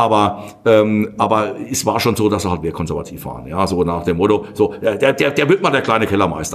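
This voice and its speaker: This man's tone is animated, his pitch fairly low with ordinary variation. He talks at a fairly quick pace. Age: 50s. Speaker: winemaker. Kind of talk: casual chat.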